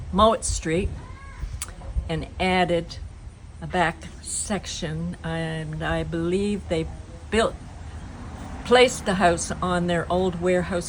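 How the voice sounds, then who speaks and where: At a very slow pace, a woman speaks with a Nova Scotian accent. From Shelburne, Nova Scotia, Canada. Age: 70s. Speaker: local resident. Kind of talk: oral history reminiscence.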